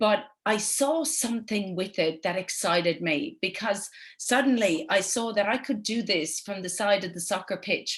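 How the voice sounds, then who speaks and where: Against a quiet background, a woman with an Irish accent talks at a moderate pace and medium pitch, with ordinary pitch variation. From Ireland. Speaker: network marketing entrepreneur. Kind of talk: webinar presentation. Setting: online webinar.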